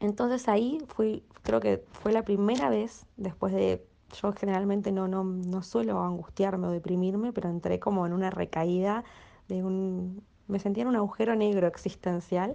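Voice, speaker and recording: This woman talks at a moderate pace with a medium pitch, ordinary pitch variation and a dark, mellow tone. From Argentina. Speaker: migrant interviewee. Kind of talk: testimony.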